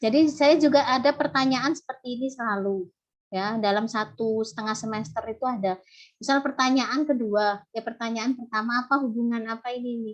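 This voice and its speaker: Here a woman talks with a Javanese accent at a high pitch. Her pace is moderate and her pitch varies in an ordinary way. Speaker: university lecturer. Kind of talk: online lecture. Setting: video call.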